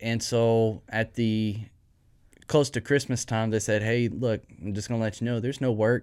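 Speaking in a Texan accent, a man keeps a medium pitch, a moderate pace and monotone, flat intonation. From East Texas. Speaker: HVAC lead technician. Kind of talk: casual interview.

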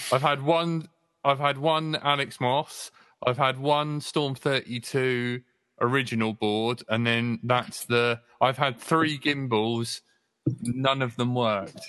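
With a bright, sharp tone, the voice moves at a very slow pace and keeps a fairly even intonation. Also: man, medium pitch for a man. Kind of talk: casual chat.

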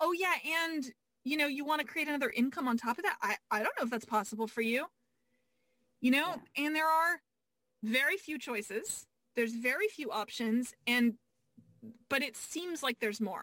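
A woman projects a raised voice with a high pitch, a bright, sharp tone and lively intonation, broken by long, frequent pauses, in a dry, close sound with no echo. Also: moderate pace. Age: 40s. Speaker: business coach. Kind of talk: casual chat.

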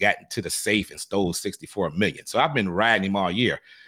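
A man with an American accent speaks in an unremarkable speaking voice at a moderate pace. His pitch is fairly low with ordinary variation, on a very clean recording with a silent background. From Detroit, Michigan. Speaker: basketball podcaster guest. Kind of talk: casual interview.

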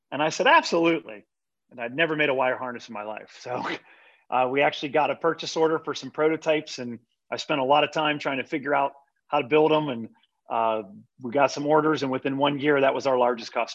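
In a quiet background, a man with an American accent talks very fast at a fairly high pitch with fairly even intonation. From Pittsburgh area, western Pennsylvania. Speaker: manufacturing advisory executive. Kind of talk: casual interview.

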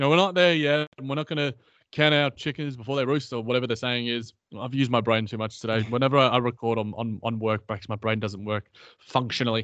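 A man with an Australian accent talks very fast at a medium pitch, with ordinary pitch variation. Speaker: basketball podcast co-host. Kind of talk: casual chat.

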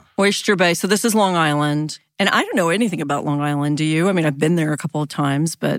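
In a very clean recording with a silent background, a woman talks at a very fast pace with a very deep, low pitch and ordinary pitch variation. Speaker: podcast host and journalist. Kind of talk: casual chat about true crime, narrating cases. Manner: drinks tea between sentences, careful with voice.

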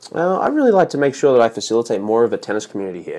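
A man speaks with an Australian accent against a quiet background. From Australia, Sydney. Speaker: tennis director. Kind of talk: casual interview.

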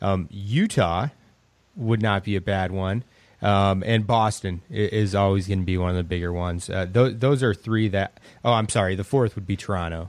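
With an unremarkable speaking voice, a man talks at a moderate pace in a fairly low pitch and fairly even intonation, recorded very cleanly against a silent background. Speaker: fantasy basketball analyst. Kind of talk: casual sports talk.

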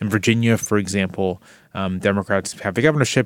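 A man speaks in a normal speaking voice, fairly low in pitch and fairly even in intonation, recorded dry and close with no echo, very clean, over a silent background. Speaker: political journalist. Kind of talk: casual interview discussion.

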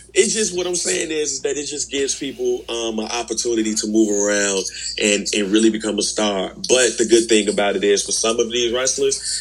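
Amid noticeable background noise, a man speaks at a fairly quick pace with hardly any pauses. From Chicago, west side. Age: 30s. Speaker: wrestling podcast co-host. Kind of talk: casual chat.

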